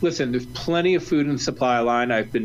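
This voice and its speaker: Over noticeable background noise, a medium-pitched man with an American accent speaks at a very fast pace. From Ohio, US Midwest. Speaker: chef. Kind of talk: casual chat.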